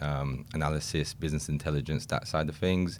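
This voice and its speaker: Speaking with a British accent, a man uses a very deep, low voice. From England. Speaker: recruitment consultant. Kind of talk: podcast interview.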